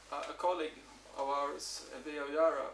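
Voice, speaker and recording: Speaking at a fairly quick pace, a man talks with a Swedish accent. The recording carries audible room echo and noticeable background noise. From Sweden. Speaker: university researcher. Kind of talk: conference presentation. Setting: workshop with audience. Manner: halting, many repetitions and fillers.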